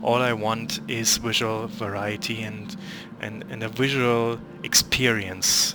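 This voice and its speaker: Over music in the background, a man speaks at a medium pitch with a non-native accent. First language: not English. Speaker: gaming youtuber. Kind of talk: gameplay commentary. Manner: halting, searching for words; casual, unscripted. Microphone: poor quality microphone.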